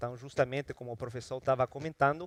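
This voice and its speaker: A man with a strong Ecuadorian accent, medium pitch, and fairly even intonation. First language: Spanish (speaking Portuguese). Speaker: energy research consultant. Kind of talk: conference talk. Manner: halting, with fillers and repetitions.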